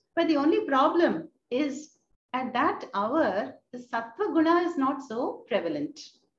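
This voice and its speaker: Her pitch high, a woman speaks amid audible room echo. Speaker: spiritual teacher. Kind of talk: lecture. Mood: warm, smiling, calm. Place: home room. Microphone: video call.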